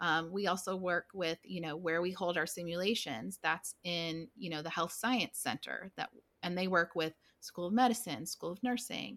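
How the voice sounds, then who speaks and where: A woman with an American accent and a plain, everyday voice speaks at a moderate pace and a fairly low pitch, with ordinary pitch variation, on a very clean recording with a silent background and a dry, close sound with no echo. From US South, southwestern Virginia (Blacksburg). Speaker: forensic nurse educator. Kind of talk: casual interview.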